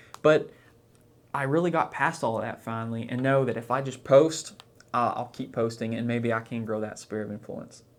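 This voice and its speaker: Speaking in an Oklahoma accent, a man uses a medium pitch and fairly even intonation. His pace is moderate. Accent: small-town Oklahoma. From US South, southeast Oklahoma. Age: 20s. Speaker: finance blogger and YouTuber. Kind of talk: casual vlog monologue. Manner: halting, with repetitions.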